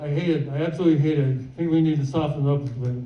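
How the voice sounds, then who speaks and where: The pace is very fast as a man speaks. His voice carries audible room echo. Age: 70s. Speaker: stand-up comedian. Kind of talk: stand-up. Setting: stage with audience.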